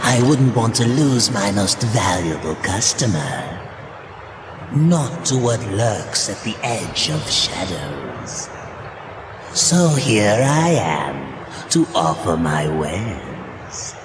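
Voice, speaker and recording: Over clear background noise and with clear echo, a man does a cartoonish character voice at medium pitch and a very slow pace. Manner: smooth, insinuating.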